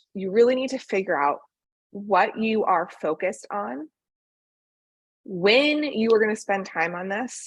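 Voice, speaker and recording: At a moderate pace and with lively intonation, the speaker uses a plain, everyday voice. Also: woman. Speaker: venture capital fundraising consultant. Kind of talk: presentation to founders.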